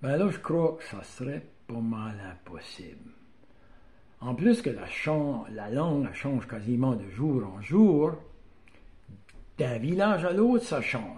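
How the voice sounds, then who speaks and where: Very slowly and with long, frequent pauses, a speaker in an Acadian accent uses a dark, mellow, somewhat breathy tone, with very wide pitch swings, big swings in loudness, and audible room echo. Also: man, fairly high pitch for a man. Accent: Acadian French (chiac). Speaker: YouTuber on Acadian dialect. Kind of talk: casual talk to camera. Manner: hesitant, many fillers.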